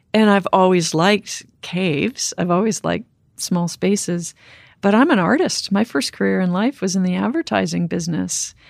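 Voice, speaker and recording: This woman has a plain, everyday voice at a medium pitch and a moderate pace. The recording is very clean with a silent background, and the sound is dry and close with no echo. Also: ordinary pitch variation. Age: 50s. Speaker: cave diver and explorer. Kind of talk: interview conversation.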